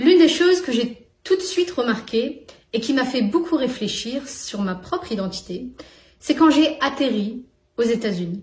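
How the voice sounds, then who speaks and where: Speaking at a fairly slow pace, a woman with a high voice lets her pitch swing very widely. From northern France. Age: young. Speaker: YouTuber. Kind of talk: personal vlog monologue.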